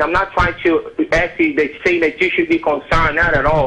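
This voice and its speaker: Music plays in the background as a man talks. His pace is fairly quick, with ordinary pitch variation. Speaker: call-in show caller. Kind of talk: phone call to live show. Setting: phone line. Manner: hesitant, halting.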